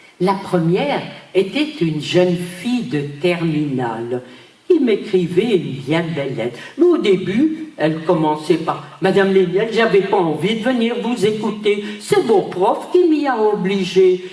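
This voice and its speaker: At a very slow pace, a woman speaks at a medium pitch with very wide pitch swings, and audible room echo surrounds her voice. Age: 80s+. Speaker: Holocaust survivor. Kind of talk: testimony. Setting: stage with audience. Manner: animated.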